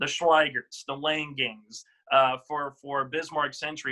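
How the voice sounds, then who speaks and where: In a dry, close sound with no echo, a man with a fairly high pitch and a bright, sharp tone talks at a fairly slow pace. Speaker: radio announcer. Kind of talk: sports analysis, game predictions.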